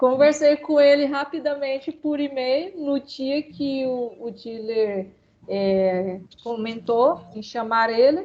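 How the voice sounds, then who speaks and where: Speaking very slowly, a woman with a high pitch and ordinary pitch variation shows big swings in loudness. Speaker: master's student defending thesis. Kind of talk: casual chat.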